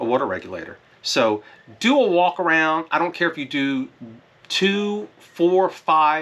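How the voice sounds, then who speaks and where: A loud man at a fairly slow pace, high-pitched for a man, with lively intonation. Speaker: RV vlogger. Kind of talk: casual chat.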